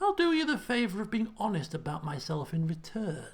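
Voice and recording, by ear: A soft-spoken, put-on character voice with a fairly high pitch swings very widely up and down. The pace is moderate.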